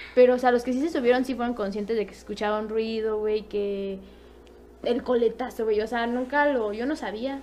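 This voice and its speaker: This woman has a fairly high pitch and keeps a moderate pace. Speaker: podcast guest. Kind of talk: casual chat. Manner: animated.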